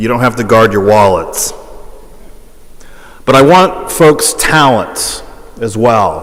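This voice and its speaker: Amid noticeable background noise and audible room echo, a man with a medium pitch speaks at a very slow pace. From Hawaii. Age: 40s. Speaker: priest and school president. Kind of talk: public talk.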